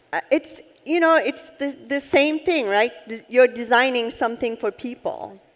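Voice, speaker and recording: A woman with a Turkish accent and lively intonation. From Turkey (Istanbul). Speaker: head of UX design. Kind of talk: on-stage interview. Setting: conference stage with audience.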